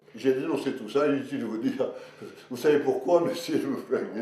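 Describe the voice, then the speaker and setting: A man talks at a very fast pace. Noticeable background noise and audible room echo surround his voice. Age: 80s+. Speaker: retired professor, pharmacologist. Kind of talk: interview. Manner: energetic.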